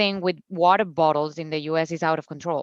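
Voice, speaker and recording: In a Colombian accent, a woman talks at a moderate pace. The background is quiet, and the sound is dry and close with no echo. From Colombia, Cucuta. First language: Spanish. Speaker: founder of a zero-waste store. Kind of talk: podcast interview. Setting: video call.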